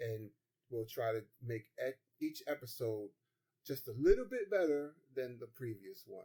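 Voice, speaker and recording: A man with a dark, mellow tone at medium pitch speaks fairly slowly and somewhat breathily, his lively intonation and big swings in loudness broken by long, frequent pauses. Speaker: podcast co-host. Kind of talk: casual chat. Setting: studio. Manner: voice trails off at ends of statements.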